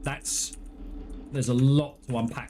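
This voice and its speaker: A man speaks in an English accent. Noticeable background noise sits behind him. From England. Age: 30s. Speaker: gaming streamer. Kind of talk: live gameplay stream chat. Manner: animated.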